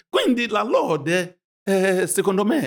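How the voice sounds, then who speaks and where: A man speaks with lively intonation. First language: not Italian (speaking Italian). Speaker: pastor. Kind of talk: religious discussion.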